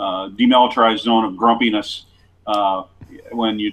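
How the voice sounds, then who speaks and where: This man has an American accent and a fairly low voice. His intonation is monotone and flat. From US Midwest, small-town western Ohio. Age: 60s. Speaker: sports columnist. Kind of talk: interview. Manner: halting, many fillers and repeats.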